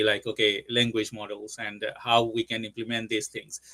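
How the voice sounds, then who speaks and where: A man with a medium pitch and a Bengali accent. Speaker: tech company CEO. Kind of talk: webinar discussion. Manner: halting.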